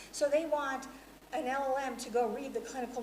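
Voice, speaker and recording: Noticeable background noise runs through the clip. A woman talks amid audible room echo. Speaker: academic conference speaker. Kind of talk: conference talk. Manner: fast.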